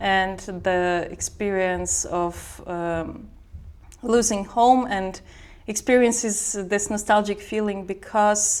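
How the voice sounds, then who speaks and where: The speaker talks at a very slow pace in a Belarusian accent. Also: woman, medium pitch for a woman. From Belarus, Minsk. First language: Belarusian or Russian. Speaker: sound artist. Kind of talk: interview. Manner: halting.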